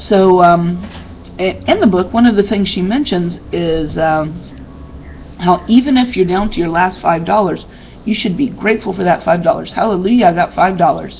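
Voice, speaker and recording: At a moderate pace and medium pitch, a woman talks with ordinary pitch variation over noticeable background noise. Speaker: personal development vlogger. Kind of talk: casual webcam talk.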